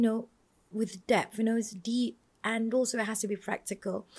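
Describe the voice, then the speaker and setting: Monotone, flat intonation from a woman with a fairly high pitch and a dark, mellow tone. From Malaysia. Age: 30s. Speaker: podcast host. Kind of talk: casual monologue. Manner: hesitant, with fillers.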